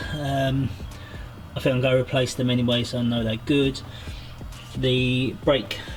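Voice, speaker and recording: With music in the background, a man speaks in a monotone, flat intonation broken by long, frequent pauses. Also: medium pitch for a man, moderate pace. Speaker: car mechanic and builder. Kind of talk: casual voice-over narration for a car build video.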